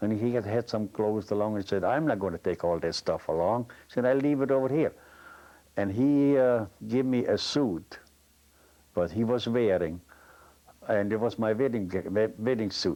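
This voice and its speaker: A man with a dark, mellow, medium-pitched voice talks at a moderate pace with ordinary pitch variation, very even loudness, and long, frequent pauses. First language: German. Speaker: retired tool and die maker. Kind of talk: personal testimony.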